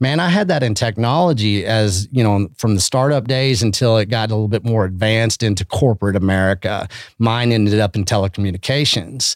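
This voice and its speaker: A man speaks fairly quickly in a West Texas accent, his pitch fairly low with ordinary variation. The recording is very clean, with a silent background. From Texas Panhandle (Canyon). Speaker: beef initiative founder, conference organizer. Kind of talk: casual chat.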